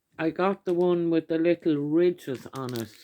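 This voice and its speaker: In a very clean recording with a silent background and a dry, close sound with no echo, a woman with an Irish accent speaks at a very deep, low pitch in a dark, mellow tone with fairly even intonation. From Ireland. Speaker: YouTuber doing product hauls. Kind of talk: casual haul video talk. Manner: chatty, with many fillers.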